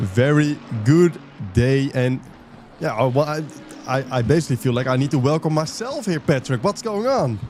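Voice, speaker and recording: Against music in the background, a man with a fairly high pitch and lively intonation keeps a moderate pace broken by long, frequent pauses. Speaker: stream producer and commentator. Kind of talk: live commentary chat.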